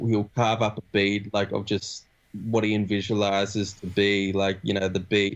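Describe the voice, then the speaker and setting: This man has an Australian accent and a monotone, flat intonation. His pace is fairly slow. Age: 20s. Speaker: rapper. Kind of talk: interview. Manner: casual, halting.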